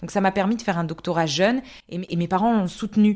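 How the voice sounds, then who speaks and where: Very fast and medium-pitched, a woman's speech shows ordinary pitch variation. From France, Alsace. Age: 30s. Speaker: epidemiologist. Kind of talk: interview. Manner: halting, many fillers and repetitions.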